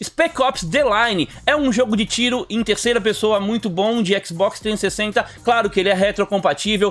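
A man's high-pitched voice at a very even loudness, with faint music in the background. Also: ordinary pitch variation, moderate pace, hardly any pauses. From Brazil. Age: 40s. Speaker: gaming YouTuber. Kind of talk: video commentary on game deals. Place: home room.

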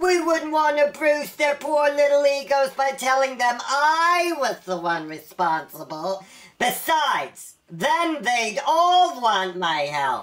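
A cartoonish character voice at a fairly slow pace, with hardly any pauses. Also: female-sounding voice, high pitch for a woman. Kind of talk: comedy web series dialogue. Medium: puppet. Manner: smooth, schmoozing, showbiz-agent flattery.

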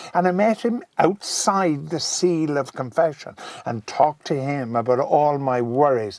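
A man with a Cork accent speaks at a fairly high pitch and a fairly slow pace. His intonation is lively, and there is noticeable background noise. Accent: Cork Irish. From Cork, Ireland. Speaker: broadcaster and rugby commentator. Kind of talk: interview answer.

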